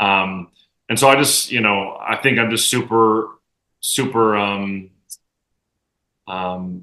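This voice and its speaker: Loud and bright with a sharp tone, a man's fairly low-pitched voice comes over a quiet background. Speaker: professional soccer player. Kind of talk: casual chat.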